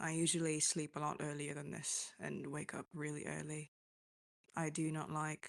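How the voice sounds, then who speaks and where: A woman with a very deep, low pitch, vocal fry and monotone, flat intonation over a quiet background. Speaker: musician hosting a live chat. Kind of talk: casual live stream talk. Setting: online voice stage on a chat server. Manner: halting.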